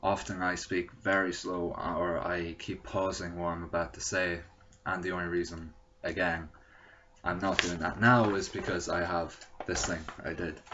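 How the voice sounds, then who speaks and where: With an Irish accent, a man speaks at a moderate pace in a very deep, low, monotone voice with flat intonation, amid audible room echo. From Ireland. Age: 20s. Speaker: vlogger sharing personal experience. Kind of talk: personal testimony to camera. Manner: hesitant, with fillers.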